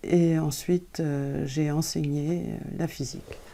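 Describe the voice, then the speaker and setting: A woman's dark, mellow voice at a very slow pace. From France. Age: 70s. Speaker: translator and author. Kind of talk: interview. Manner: hesitant, many fillers.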